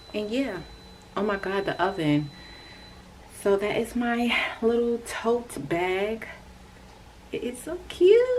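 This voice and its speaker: Fairly high-pitched woman at a very slow pace, lively intonation and long, frequent pauses over noticeable background noise. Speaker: crochet vlogger. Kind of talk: casual vlog tutorial. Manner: animated.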